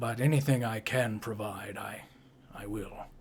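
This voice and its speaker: A man puts on a character voice. It is raspy, with a medium pitch. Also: moderate pace, fairly even intonation. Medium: actual play. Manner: formal, measured.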